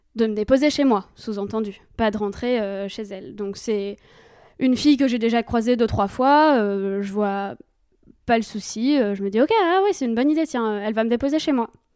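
On a very clean recording with a silent background, a woman with an unremarkable speaking voice speaks at a moderate pace, her pitch fairly high with ordinary variation. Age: 20s. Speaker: storyteller guest. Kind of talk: personal testimony.

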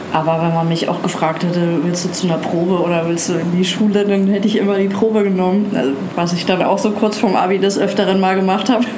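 With noticeable background noise and audible room echo, a woman speaks very fast at a medium pitch with fairly even intonation. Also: very even loudness. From Germany, Nuremberg (Franconia). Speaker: actress. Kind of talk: casual interview. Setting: outdoors on a hotel terrace by the sea.

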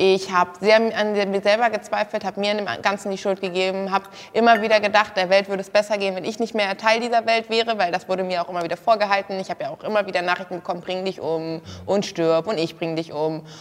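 Over noticeable background noise, a woman at medium pitch talks at a very fast pace with fairly even intonation. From Germany, Kassel. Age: 20s. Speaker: former reality TV model contestant. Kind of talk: casual interview talk.

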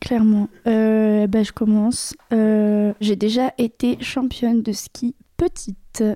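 A woman with a fairly high pitch speaks at a very slow pace in a dark, mellow tone, her loudness very even and the sound dry and close with no echo. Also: fairly even intonation. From Anjou, western France. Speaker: stand-up comedian, comedy club co-manager. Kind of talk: casual chat.

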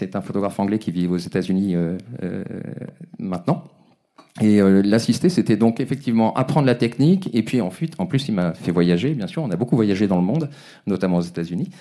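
A man with a dark, mellow tone and fairly low pitch speaks at a fairly quick pace with lively intonation, broken by long, frequent pauses. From Brittany, France. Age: 50s. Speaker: photographer. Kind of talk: interview. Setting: live recording with audience. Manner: halting.

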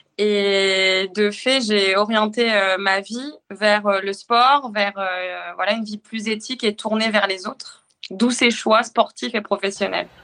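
A woman's bright, sharp tone at a very slow pace, with hardly any pauses and fairly even intonation. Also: medium pitch for a woman. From northern France. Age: 20s. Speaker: firefighter officer and amateur triathlete. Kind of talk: casual interview.

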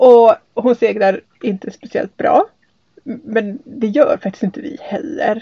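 A woman speaks at a very slow pace with a high pitch. Her intonation is lively. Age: 40s. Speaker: sailing podcast host, hydrogeologist. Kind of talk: casual chat. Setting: on board a sailboat.

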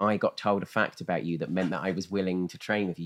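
Someone with a southern English accent speaks at a very fast pace. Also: man, quiet background. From rural Kent, England. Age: 30s. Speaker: comedian and podcast co-host. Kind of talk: casual chat.

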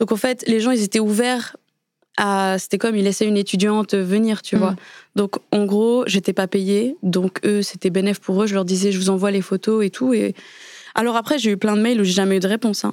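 A woman with an unremarkable speaking voice talks at medium pitch and a moderate pace, with fairly even intonation and very even loudness. The recording is very clean, with a silent background and a dry, close sound with no echo. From Switzerland. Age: 20s. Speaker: photographer. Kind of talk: interview. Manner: casual.

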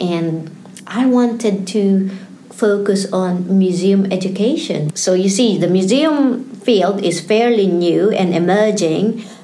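In a recording with noticeable background noise and audible room echo, a woman speaks at a very slow pace and medium pitch, with ordinary pitch variation and very even loudness. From Philippines. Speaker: PhD candidate and museologist. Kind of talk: interview.

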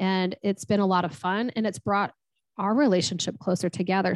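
Against a quiet background, a woman talks at a medium pitch with ordinary pitch variation in an unremarkable speaking voice. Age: 40s. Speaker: strengths coach and financial consultant. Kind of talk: interview.

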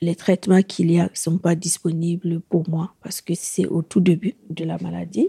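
The speaker has a Burkinabe accent and a dark, mellow, somewhat breathy tone, talking at a fairly slow pace. The intonation is monotone and flat, and the sound is dry and close with no echo. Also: woman. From Burkina Faso. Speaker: woman living with HIV. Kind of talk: personal testimony. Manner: halting, with hesitations.

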